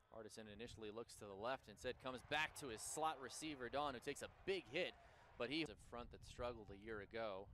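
A man talks at a very fast pace with a bright, sharp, animated tone and big swings in loudness. His pitch is medium, with ordinary variation. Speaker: football play-by-play announcer. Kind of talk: live sports commentary. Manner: animated, rising excitement on big plays.

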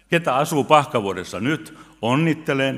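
His pitch swings very widely. The man's pace is fairly slow. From Finland. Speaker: pastor. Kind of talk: sermon. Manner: loud. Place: church. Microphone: podium.

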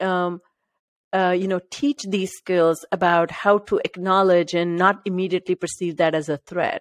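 A woman with an Indian accent at a moderate pace. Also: dry sound with no echo. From India, Maharashtra. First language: Marathi. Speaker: podcast host. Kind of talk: interview conversation. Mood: warm, engaged. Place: home room. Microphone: studio mic.

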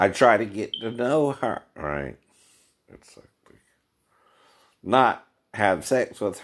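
Speaking very slowly with long, frequent pauses, a man uses lively intonation and vocal fry, his loudness swinging widely. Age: 50s. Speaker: vlogger. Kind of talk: casual monologue. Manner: frequent laughing. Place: home room. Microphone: phone near.

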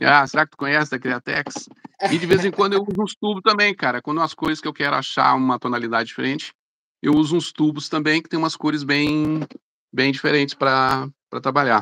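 A man talks at a fairly quick pace in a fairly high pitch with a bright, sharp tone. His pitch variation is ordinary, and the background is quiet. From Belo Horizonte, Brazil. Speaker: airbrush artist; guest. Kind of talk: casual chat. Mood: relaxed, friendly. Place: home room. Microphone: video call.

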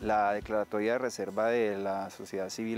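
Clear music plays behind a man speaking at a fairly low pitch in a monotone, flat intonation. The sound is dry, with no echo. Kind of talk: interview answer. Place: forest. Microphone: lapel.

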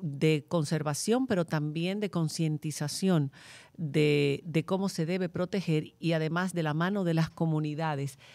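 With ordinary pitch variation, a woman talks in a fairly low pitch and a dark, mellow tone on a very clean recording with a silent background. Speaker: podcast host. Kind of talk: moderated panel discussion.

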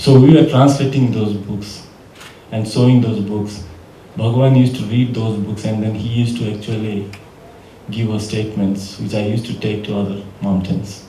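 A man with a fairly low pitch speaks at a moderate pace with fairly even intonation. Audible room echo and light background noise surround him. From India. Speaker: documentary filmmaker and activist; panelist. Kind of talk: panel Q&A answers. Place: hall.

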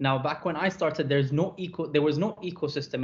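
A man's somewhat breathy voice comes through over light background noise. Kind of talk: lecture. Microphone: webcam.

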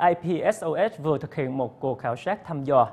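At a fairly quick pace, a man speaks with a fairly high pitch and a slightly mellow tone.

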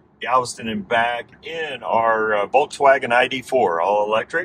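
Speaking at a fairly slow pace, a man uses lively intonation. The sound is dry with no echo, over light background noise. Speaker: vlogger. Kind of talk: casual vlog chat. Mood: cheerful, excited. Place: car. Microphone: camera far.

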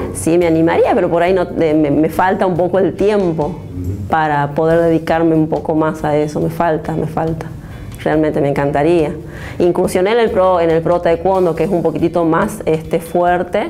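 Over faint music in the background, a woman with a fairly low pitch speaks at a moderate pace, with fairly even intonation and very even loudness. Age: 30s. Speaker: taekwondo athlete. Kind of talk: interview. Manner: halting. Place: studio. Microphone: lapel.

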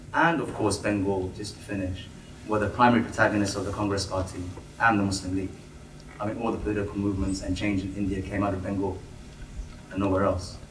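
Very fast delivery broken by long, frequent pauses, with fairly even intonation, audible room echo and light background noise. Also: man, fairly low pitch for a man. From Bangladesh. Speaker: audience member. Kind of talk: audience question. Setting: public meeting with audience. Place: hall.

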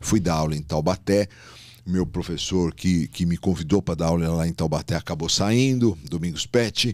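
A man speaks with a very deep, low pitch and ordinary pitch variation at a moderate pace. The sound is dry with no echo, and the background is quiet. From São Paulo city, Brazil; Brazil. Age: 60s. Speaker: gynecologist and obstetrician; guest. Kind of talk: casual interview. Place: studio. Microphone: studio mic.

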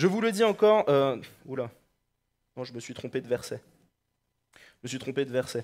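The speaker talks at a moderate pace with an animated, warm tone, very wide pitch swings, big swings in loudness and long, frequent pauses. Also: man. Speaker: preacher. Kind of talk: sermon. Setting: church. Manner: halting, with repeated words and fillers. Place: church. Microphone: headset.

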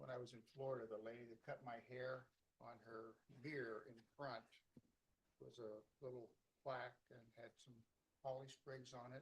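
A man talks at a moderate pace and medium pitch with a somewhat breathy quality. His intonation is flat and monotone, with long, frequent pauses. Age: 70s. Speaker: city council member. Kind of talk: casual remarks at a meeting.

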